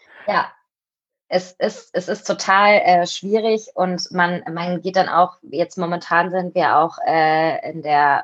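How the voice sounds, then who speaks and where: The speaker is a woman. Her pitch is fairly low. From Cologne, Germany. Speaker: co-founder of an online shop. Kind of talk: interview conversation.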